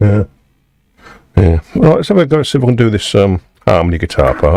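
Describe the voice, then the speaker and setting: This man has an English accent and a medium pitch, with very wide pitch swings at very even loudness. The sound is dry and close, with no echo. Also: moderate pace. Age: 60s. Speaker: musician live-streaming from home studio. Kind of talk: casual chat. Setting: home studio live stream. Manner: halting, with frequent fillers.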